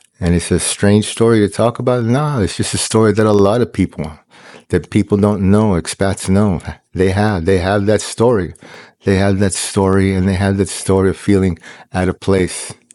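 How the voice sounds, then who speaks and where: A man with an American accent speaks at a moderate pace in a fairly low pitch. His intonation is fairly even, his loudness very even, and the background quiet. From Peruvian family raised abroad in Malaysia. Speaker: online talk speaker. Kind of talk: spiritual monologue. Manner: repetitive, halting.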